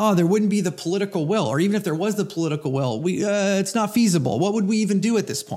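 A man with a General American accent talks very fast, with hardly any pauses. His voice is high-pitched, with a dark, mellow tone. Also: ordinary pitch variation. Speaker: podcast host. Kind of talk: serious monologue on guns, impassioned; angry rant. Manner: heated, impassioned, exasperated, emphatic; emotional, earnest.

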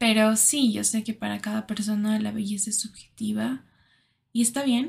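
Somewhat breathy, the voice moves at a moderate pace. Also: woman. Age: 20s. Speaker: podcaster. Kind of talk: personal monologue. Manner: halting.

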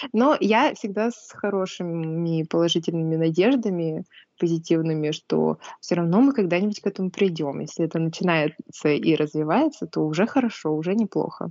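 A woman with a normal speaking voice, fairly low pitch, lively intonation and a moderate pace. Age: 20s. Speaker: preschool teacher. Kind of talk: casual chat.

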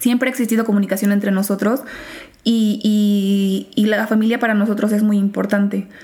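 A woman speaks at a moderate pace and medium pitch, her intonation monotone and flat and her loudness very even. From Mexico, small town in Guanajuato. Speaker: law graduate. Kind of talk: interview chat.

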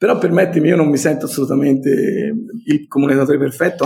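A man's fairly high-pitched voice with vocal fry and a Tuscan accent. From Tuscany, Italy (Montelupo). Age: 50s. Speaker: entrepreneur. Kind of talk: interview. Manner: emphatic.

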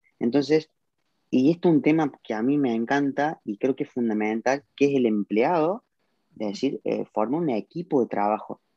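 A man in a Cordoban Argentine accent, dark and mellow in tone, at a moderate pace with a dry, close sound and no echo. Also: medium pitch for a man, ordinary pitch variation. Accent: Argentine Spanish, Córdoba. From Argentina, Córdoba. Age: 20s. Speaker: car detailing entrepreneur. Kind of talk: live video interview.

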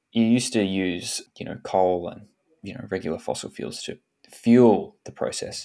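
A man speaks in an Australian accent. His volume swings widely from loud to soft. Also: moderate pace. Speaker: podcast host. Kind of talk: casual chat.

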